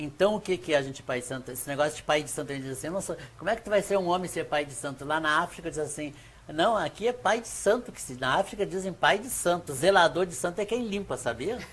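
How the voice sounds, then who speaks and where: At a very fast pace, a man with a high pitch talks with hardly any pauses and big swings in loudness. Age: 70s. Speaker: Afro-Brazilian religious elder. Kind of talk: interview. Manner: halting.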